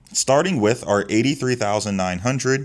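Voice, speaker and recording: A man talks at a fairly quick pace in a plain, everyday voice, fairly low in pitch with ordinary pitch variation, on a very clean recording with a silent background. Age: 20s. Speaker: tax professional, finance youtuber. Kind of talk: tutorial.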